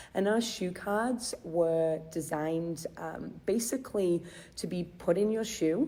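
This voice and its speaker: The speaker has a strong English accent and ordinary pitch variation. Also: woman. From England, Chester. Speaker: charity philanthropy manager. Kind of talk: live stream talk. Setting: Facebook Live video. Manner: hesitant, many fillers.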